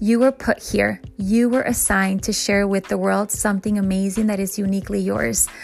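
A woman at a fairly quick pace, with hardly any pauses. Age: 40s. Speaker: motivational podcast host. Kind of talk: inspirational monologue.

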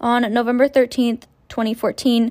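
The speaker has a Canadian accent. The pace is moderate. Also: woman. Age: 20s. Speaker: true crime podcaster. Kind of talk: casual true crime narration. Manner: casual, with frequent fillers.

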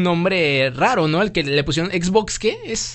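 The tone is animated, with lively intonation at a fairly slow pace. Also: man. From Mexico. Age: 30s. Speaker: podcast host. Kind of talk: casual chat.

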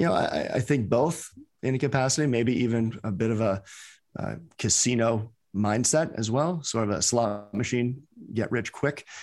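A man with an American accent and a plain, everyday voice, medium pitch, ordinary pitch variation and a moderate pace, in a very clean recording with a silent background. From US, New York (the Bronx). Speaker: crypto fund manager and investment educator. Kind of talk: interview.

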